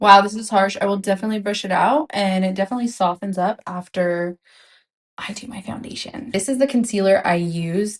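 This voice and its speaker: The speech moves at a fairly quick pace, showing big swings in loudness and ordinary pitch variation. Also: woman, medium pitch for a woman. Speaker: beauty content creator. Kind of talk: makeup tutorial. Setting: at home, echoey room. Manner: casual, chatty. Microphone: external mic without windscreen, echo.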